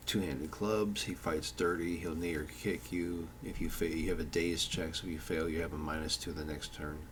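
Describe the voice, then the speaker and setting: This man has a very deep, low pitch and talks at a moderate pace. There is audible room echo. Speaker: tabletop game designer. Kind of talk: tutorial. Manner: slurred speech; halting, many fillers.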